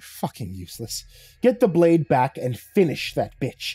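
A man puts on a character voice at a medium pitch, croaky with a husky, rough edge and a dark, mellow tone. He goes at a fairly slow pace with big pitch swings.

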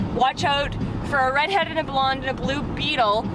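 A woman speaks with a dry sound that has no echo while music plays in the background. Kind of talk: casual vlog chat. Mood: amused, lively. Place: car. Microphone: phone near.

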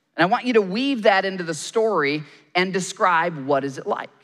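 Against a quiet background, a man with an American accent talks at a fairly quick pace in a high voice whose pitch swings very widely. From Michigan. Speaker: pastor and journalist; pastor, journalist. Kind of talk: sermon. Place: stage. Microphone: headset.

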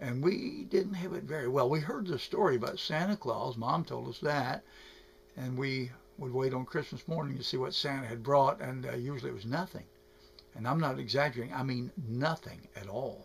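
Vocal fry marks this man's speech at a moderate pace. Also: ordinary pitch variation. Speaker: storyteller. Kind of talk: personal storytelling to camera. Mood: nostalgic, gentle, a bit sad. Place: home room. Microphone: webcam.

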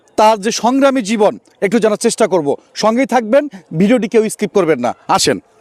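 In a dry, close recording with no echo, a man with a high pitch keeps his loudness very even and varies his pitch in an ordinary way. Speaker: street interview vlogger. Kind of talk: street interview vlog.

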